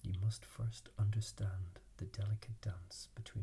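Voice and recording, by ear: The text is read aloud in a natural voice. Intonation stays fairly even.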